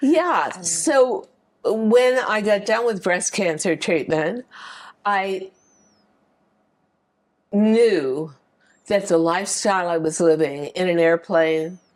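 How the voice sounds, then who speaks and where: Lively intonation marks this very slow speech, broken by long, frequent pauses. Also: woman, medium pitch for a woman. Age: 70s. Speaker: fashion designer and author. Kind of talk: interview answer.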